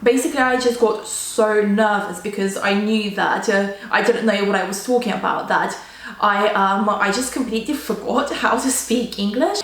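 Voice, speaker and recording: Spoken at a moderate pace with fairly even intonation and a slight Russian accent, the voice comes through audible room echo and noticeable background noise. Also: woman, fairly high pitch for a woman. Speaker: student vlogger. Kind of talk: casual storytelling vlog. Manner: casual, filler-heavy.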